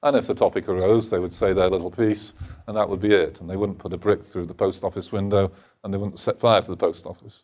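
In an English accent, a man talks at a very fast pace in a fairly low pitch with monotone, flat intonation and big swings in loudness, on a very clean recording with a silent background. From England, Lincolnshire. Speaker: think tank executive and author. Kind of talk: lecture.

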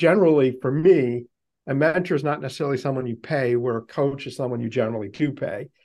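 A man with a normal speaking voice talks at a medium pitch with an American accent. His pace is fairly quick, and his pitch variation is ordinary. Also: quiet background. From US Northeast, Boston. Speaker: podcast host. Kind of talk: interview. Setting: video call.

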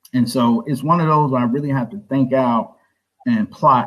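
A man talks at a moderate pace with a Southern US accent. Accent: US South. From South Carolina, Orangeburg. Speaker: author and school founder. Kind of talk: interview.

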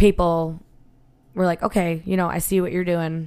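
A woman's fairly low voice with a Western New York accent, in a very clean recording over a silent background. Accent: Western New York (Inland North) American. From Buffalo, New York. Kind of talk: casual chat.

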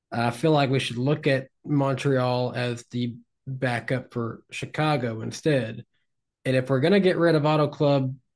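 In a Tennessee accent, a man speaks at a moderate pace and a medium pitch. His intonation is fairly even, and the background is quiet. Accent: Tennessee Southern. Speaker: podcast co-host.

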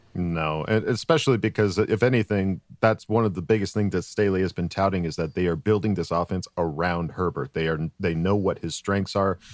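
An American accent comes from a man with a very deep, low pitch who leaves hardly any pauses. The recording is very clean and dry, close and free of echo, with a silent background. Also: ordinary pitch variation, fairly quick pace. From San Diego, US. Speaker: voiceover artist and podcast co-host. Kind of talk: casual chat.

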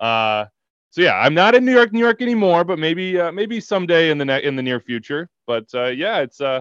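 Talking very fast with an American accent, a man uses a fairly high pitch with very wide swings. The sound is dry and close, with no echo. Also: quiet background. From Kansas, US. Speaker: soccer broadcaster. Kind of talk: interview.

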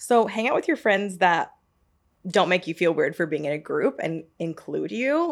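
Recorded very cleanly over a silent background, a speaker with an American accent uses lively intonation at a moderate pace in a plain, everyday voice. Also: woman. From US South, Georgia (Marietta). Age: 30s. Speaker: podcast host. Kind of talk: casual chat. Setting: studio.

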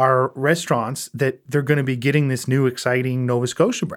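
A man speaks with an Atlantic Canadian accent. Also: very clean recording, silent background. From Prince Edward Island. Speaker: entrepreneur, spirits company president. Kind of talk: casual interview conversation.

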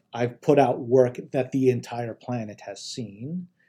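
A man with a dark, mellow tone is heard in a very clean recording over a silent background. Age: 40s. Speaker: chief technology officer. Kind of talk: interview. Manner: halting, many fillers and repetitions.

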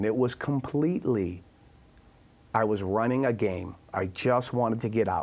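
With a Boston accent, a man speaks at a medium pitch with ordinary pitch variation. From Boston, US. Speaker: recovery advocate and author. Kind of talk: interview testimony.

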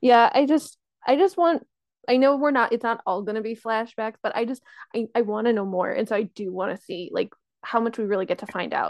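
A woman's fairly high, unremarkable speaking voice, lively in intonation, at a fairly quick pace. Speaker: podcast co-host. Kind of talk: casual chat.

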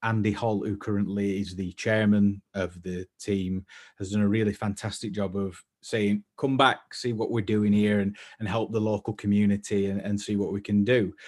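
A man with a Lancashire accent speaks at a moderate pace in a fairly low voice with a dark, mellow tone. The background is quiet. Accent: northern English (Lancashire). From northern England; East Lancashire. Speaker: fashion creator and shop founder. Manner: hesitant, many filler words and repeats; self-deprecating, waffling.

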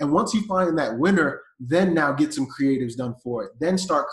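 A somewhat breathy man with an American accent and ordinary pitch variation. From US South, Atlanta, Georgia. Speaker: e-commerce entrepreneur. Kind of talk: podcast interview.

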